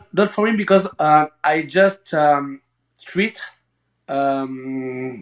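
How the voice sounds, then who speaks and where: A man talks in a French accent at a very slow pace. His pitch varies in an ordinary way. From France. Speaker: emergency medic. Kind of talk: casual chat. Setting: video call. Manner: halting.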